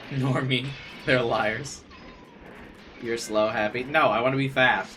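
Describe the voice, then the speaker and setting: A man speaks at a medium pitch, leaving long, frequent pauses. Noticeable background noise and audible room echo surround him. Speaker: gaming streamer. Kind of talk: live stream chat. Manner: fast.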